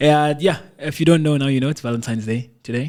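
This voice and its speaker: With a Lesotho accent, a man talks at a fairly high pitch with ordinary pitch variation. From South Africa. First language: Sesotho. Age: 20s. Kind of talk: podcast intro.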